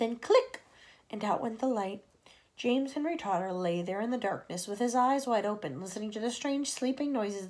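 Someone reads aloud plainly.

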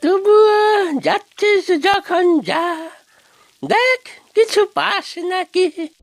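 The speaker uses a cartoonish character voice at an extremely high pitch. The pace is very slow.

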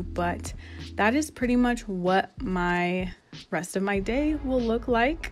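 Faint music sits in the background as a woman talks at a fairly slow pace. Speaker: beauty vlogger. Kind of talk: casual vlog chat. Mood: relaxed, upbeat.

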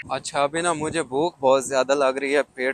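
A man at a moderate pace, fairly even intonation, dry sound with no echo, light background noise. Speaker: travel vlogger. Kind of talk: casual vlog chat. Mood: cheerful, curious. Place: street. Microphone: lapel.

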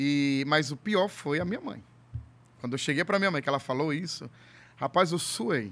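With lively intonation and long, frequent pauses, a man talks at a moderate pace in a fairly high pitch. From Ceará, Brazil (Fortaleza area); Ceará, Brazil. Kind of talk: casual chat. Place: studio. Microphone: studio mic.

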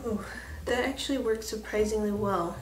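Light background noise sits beneath a woman speaking in a room with audible echo. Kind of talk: casual vlog chat. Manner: low, careful speech after tooth extraction. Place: home room. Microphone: phone near.

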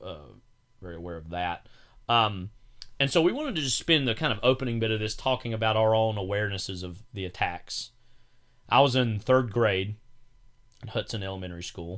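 On a very clean recording with a silent background, a man speaks at a fairly quick pace and a fairly low pitch, with ordinary pitch variation, big swings in loudness, and long, frequent pauses. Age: 20s. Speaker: podcast co-host, film commentator. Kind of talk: casual chat.

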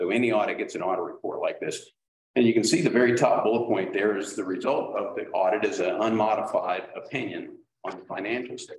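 A man talks at a very fast pace. Light background noise and audible room echo can be heard. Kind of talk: presentation to a public meeting. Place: meeting room.

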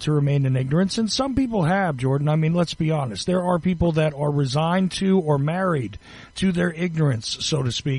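This man has a plain, everyday voice, a fairly high pitch and ordinary pitch variation, and he speaks at a fairly quick pace. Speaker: radio host. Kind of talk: radio interview. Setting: studio.

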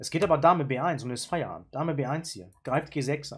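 A man's fairly high, somewhat breathy voice moves at a fairly slow pace. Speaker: chess YouTuber and player. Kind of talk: chess game analysis. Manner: casual, with frequent filler sounds.

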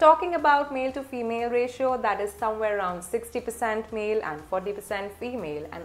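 A woman with a fairly high pitch speaks at a moderate pace with lively intonation. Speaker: admissions consultant. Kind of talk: tutorial. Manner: formal. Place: home room.

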